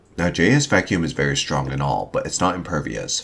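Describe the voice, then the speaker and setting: A man's very deep, low voice at a fairly quick pace, swinging very widely in pitch, over noticeable background noise. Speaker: fighting game content creator. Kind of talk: scripted analysis narration.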